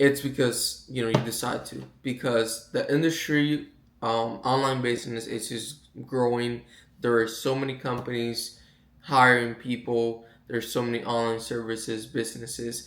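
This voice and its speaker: With audible room echo, a man speaks at a medium pitch and moderate pace in a monotone, flat intonation. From Puerto Rico. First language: Spanish. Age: 20s. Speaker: online sales coach. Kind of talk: casual vlog monologue. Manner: halting, repeats words.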